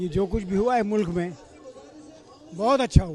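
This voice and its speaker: A man talks in a high-pitched voice. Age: 70s. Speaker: retired air force veteran. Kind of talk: street interview. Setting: outdoors at beach rally.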